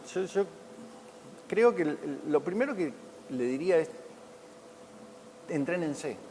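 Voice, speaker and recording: Through noticeable background noise, a man with a high pitch and lively intonation talks at a fairly slow pace with long, frequent pauses. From Argentina, Santa Fe city. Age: 60s. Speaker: retired Olympic swimmer. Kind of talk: interview. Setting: sports museum. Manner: halting, with many repetitions.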